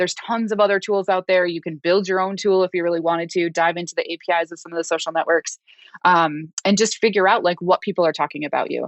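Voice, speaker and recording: A woman with a fairly low pitch and an American accent, very fast pace and fairly even intonation, in a dry, close sound with no echo. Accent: Minnesota accent, rarely noticeable. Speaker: developer advocacy consultant. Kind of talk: podcast interview. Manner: casual, filler-heavy.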